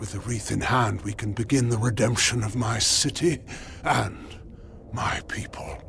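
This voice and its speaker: A man puts on a character voice at medium pitch. Clear background noise runs under it. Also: moderate pace. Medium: video game. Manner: grave, formal, stately.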